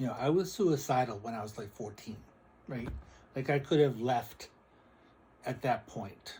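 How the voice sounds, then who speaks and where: Speaking at a moderate pace with long, frequent pauses, a man has a somewhat breathy, dark and mellow medium-pitched voice, ordinary pitch variation, and big swings in loudness. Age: 60s. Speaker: psychic and spiritual video creator. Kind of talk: casual spiritual vlog monologue.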